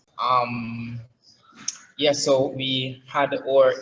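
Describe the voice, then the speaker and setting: A man talks with a Jamaican accent. His intonation is monotone and flat. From Jamaica, Saint Thomas. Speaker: app founder and digital marketer. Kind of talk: interview. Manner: many fillers, halting.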